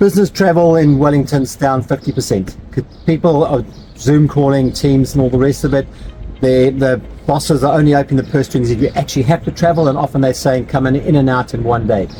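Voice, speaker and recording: Over background music, a man with a New Zealand accent talks at a fairly quick pace in a fairly high pitch, with very even loudness and ordinary pitch variation. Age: 60s. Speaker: hospitality business owner. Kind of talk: interview. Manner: halting.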